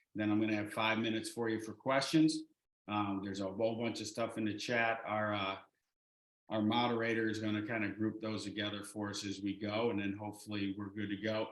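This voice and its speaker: A man talks in a plain, everyday voice, fairly low-pitched and at a fairly quick pace. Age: 60s. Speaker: education director presenting a curriculum. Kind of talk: webinar presentation. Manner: casual, with many fillers.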